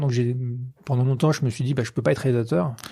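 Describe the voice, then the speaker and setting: Dark and mellow in tone, a man's somewhat breathy voice sits at medium pitch with ordinary pitch variation. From western France, Poitou-Charentes (La Rochelle). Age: 40s. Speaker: film director. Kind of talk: interview. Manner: halting, many fillers.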